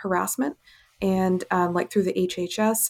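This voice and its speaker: A woman in an American accent, with fairly even intonation. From Kenya and West Africa, American missionary family. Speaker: family physician. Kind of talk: interview. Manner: halting, many fillers.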